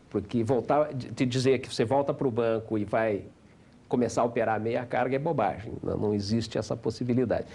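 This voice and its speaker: Medium pitch and a dark, mellow tone from a man talking fairly quickly with ordinary pitch variation. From Paraná, Brazil. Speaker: business executive. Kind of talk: interview.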